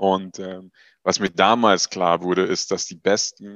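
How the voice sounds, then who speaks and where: Recorded with a dry, close sound with no echo and a quiet background, a man speaks with a very deep, low pitch. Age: 20s. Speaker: startup founder. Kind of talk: interview.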